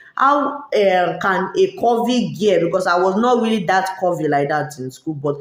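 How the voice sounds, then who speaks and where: Over noticeable background noise, a woman speaks at a fairly slow pace. Her fairly low pitch carries lively intonation. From Nigeria, Lagos. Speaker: YouTuber. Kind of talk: casual vlog monologue. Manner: loud, street-style talk.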